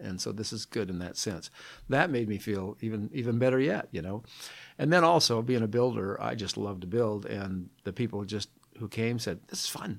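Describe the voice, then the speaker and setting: Delivered at a moderate pace with ordinary pitch variation, an ordinary speaking voice comes through on a very clean recording with a silent background. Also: man, fairly low pitch for a man. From Seattle, US Pacific Northwest. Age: 60s. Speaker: retired volunteer building tiny homes. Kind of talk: interview.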